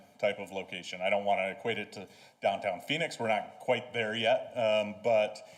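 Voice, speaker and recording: A man keeps a moderate pace and ordinary pitch variation, with audible room echo in the space. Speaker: city planning staff presenter. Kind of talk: council presentation. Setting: city council meeting. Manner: halting, many fillers.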